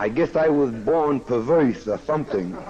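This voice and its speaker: Over noticeable background noise, a man speaks at a fairly slow pace with lively intonation. His voice sits at a medium pitch, with an American accent. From Kansas City, Missouri. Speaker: speaker at a recovery meeting. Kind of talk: recovery meeting talk with humor. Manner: animated, joking.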